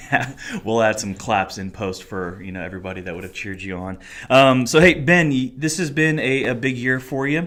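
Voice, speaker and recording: A man speaks at a fairly quick pace in a medium pitch with lively intonation. His loudness swings widely. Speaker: college and singles minister, podcast host. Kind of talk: casual chat. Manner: announcer-like delivery in front of mic.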